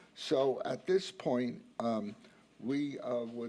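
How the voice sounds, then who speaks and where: The speaker is a man. He has a dark, mellow tone. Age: 80s+. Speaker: property owner speaking at council meeting. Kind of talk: public comment at council meeting. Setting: town council meeting.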